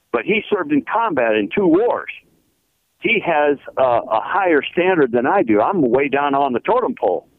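A man speaks at a fairly high pitch, his pitch swinging very widely. His loudness stays very even throughout. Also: moderate pace. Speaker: caller, retired military veteran. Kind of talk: radio call-in.

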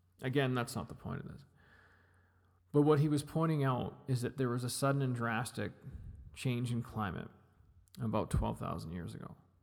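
With a Western Canadian accent, a man speaks at a medium pitch and moderate pace. His delivery has long, frequent pauses and big swings in loudness. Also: ordinary pitch variation. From British Columbia. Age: 40s. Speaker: podcast host. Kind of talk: solo podcast monologue. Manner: halting.

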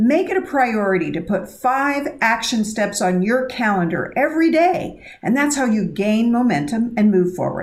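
Very wide pitch swings in a woman's fairly high-pitched speech. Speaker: financial planner and radio host. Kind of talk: scripted intro and interview.

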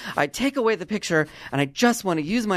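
With an animated tone and lively intonation, a man talks at a fairly quick pace. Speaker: podcast host. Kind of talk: casual chat. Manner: animated, joking.

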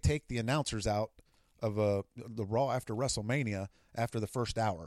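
The recording is very clean, with a silent background and a dry, close sound with no echo. A man with an ordinary speaking voice talks at medium pitch with ordinary pitch variation. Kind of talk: casual chat. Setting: home basement studio.

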